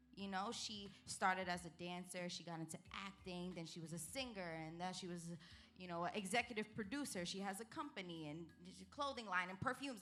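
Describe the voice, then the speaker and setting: The speaker talks in a Brooklyn accent. Music plays in the background. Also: woman, medium pitch for a woman, ordinary pitch variation, fairly quick pace. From New York City, Brooklyn. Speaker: entertainer. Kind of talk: interview.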